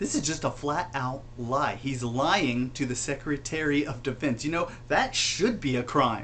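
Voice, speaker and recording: Talking at a moderate pace in an American accent, the speaker shows ordinary pitch variation. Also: man. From United States. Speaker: gaming commentator. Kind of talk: rant to camera. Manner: passionate, angry.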